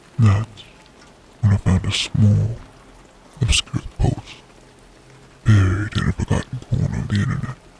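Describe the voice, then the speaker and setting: Someone speaks at a fairly slow pace with ordinary pitch variation while music plays in the background. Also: man. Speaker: horror narrator. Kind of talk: first-person horror story reading.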